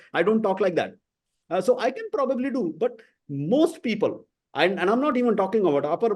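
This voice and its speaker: A man with an Indian accent speaks at a fairly quick pace in a dark, mellow tone. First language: Hindi. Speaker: podcast host. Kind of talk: interview conversation.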